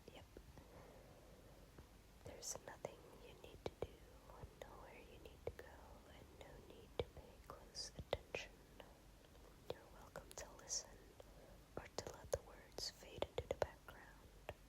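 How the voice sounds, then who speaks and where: Whispering at a fairly slow pace with long, frequent pauses, over noticeable background noise. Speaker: ASMR reader. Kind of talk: ASMR encyclopedia reading. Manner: whispered; calm, neutral.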